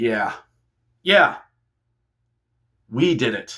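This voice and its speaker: In a put-on character voice, a man speaks at a medium pitch. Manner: gangster-like.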